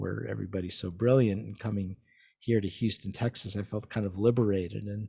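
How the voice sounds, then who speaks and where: A man's fairly low, somewhat breathy voice moves at a fairly quick pace with fairly even intonation in a very clean recording with a silent background. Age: 60s. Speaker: vaccine scientist and physician. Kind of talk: interview conversation. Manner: halting, many repetitions.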